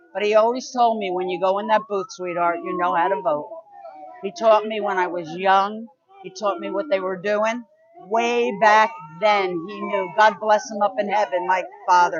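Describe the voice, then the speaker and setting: A woman talks at a moderate pace with a medium pitch and ordinary pitch variation. Noticeable background noise can be heard. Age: 70s. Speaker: Trump supporter at a rally. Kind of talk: street interview.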